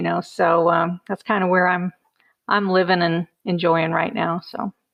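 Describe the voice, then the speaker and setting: A woman's normal speaking voice at a medium pitch. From US Midwest, Chicago. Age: 60s. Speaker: credit union banker. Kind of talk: casual interview.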